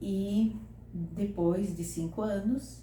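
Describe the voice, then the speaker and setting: Audible room echo surrounds a woman as she speaks. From southern Brazil, Santa Catarina (São José do Cedro). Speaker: retired teacher. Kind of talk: interview.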